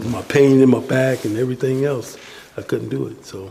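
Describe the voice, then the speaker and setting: Male speaker, moderate tempo, background noise clearly present. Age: 60s. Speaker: handyman, formerly homeless senior. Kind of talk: interview testimony. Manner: halting, many fillers.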